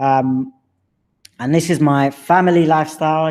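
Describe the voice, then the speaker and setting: Someone with an English accent speaks at a fairly slow pace. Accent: English accent, drops T's. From London, England. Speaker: personal heritage presenter. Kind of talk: presentation narrating slideshow of own history. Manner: casual, hesitant with fillers.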